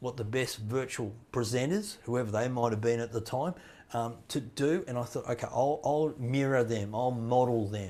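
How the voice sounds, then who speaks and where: A man with a dark, mellow tone speaks at a moderate pace in a medium pitch, with ordinary pitch variation. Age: 60s. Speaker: motivational speaker. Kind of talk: casual chat. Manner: halting.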